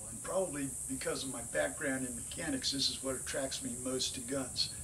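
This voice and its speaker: Fairly even intonation amid noticeable background noise and audible room echo. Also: man. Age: 60s. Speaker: competition shooter. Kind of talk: audition monologue.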